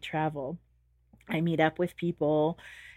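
A woman with a Californian accent speaks in an animated tone. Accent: General American, Californian. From US West Coast, San Diego, California. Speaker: Montessori teacher and chef. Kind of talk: interview. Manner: animated, laughs often.

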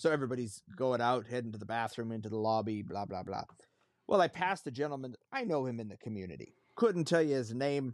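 Very fast and lively in intonation, a man speaks at medium pitch. His loudness swings widely. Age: 40s. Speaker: podcast co-host. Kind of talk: casual chat.

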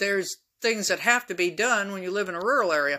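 With a bright, sharp tone, this woman lets her pitch vary in a normal way. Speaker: podcast host. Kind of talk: casual solo monologue.

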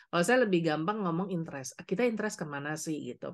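A woman speaks in a plain, everyday voice with a fairly low pitch and ordinary pitch variation. The background is quiet. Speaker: coach and trainer, former corporate HR employee. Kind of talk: interview.

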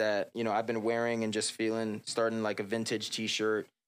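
On a very clean recording with a silent background, a man with an American accent and medium pitch speaks in a monotone, flat intonation. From South Florida (Palm Beach). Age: 20s. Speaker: R&B singer and hip-hop artist. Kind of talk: casual interview. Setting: studio, on camera.

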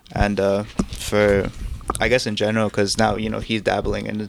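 A man's fairly low, monotone, flat voice against noticeable background noise. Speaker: filmmaker and music video director. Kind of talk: casual chat.

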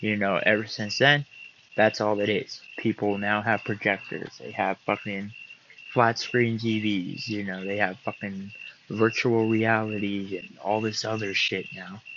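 At a fairly slow pace, a man speaks in a fairly low pitch with monotone, flat intonation. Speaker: podcast host. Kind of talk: casual monologue. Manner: laid-back.

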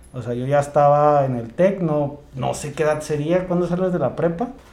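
A man with a fairly high pitch speaks at a moderate pace, with audible room echo. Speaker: podcast co-host. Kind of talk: casual chat.

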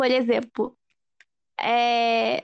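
A woman's voice comes through dry and close with no echo against a quiet background. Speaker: podcast co-host. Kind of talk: casual chat.

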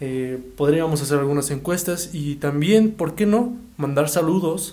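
A man with a fairly high pitch talks at a fairly slow pace, and the room echo is audible. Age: 20s. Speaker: podcast host. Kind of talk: casual chat.

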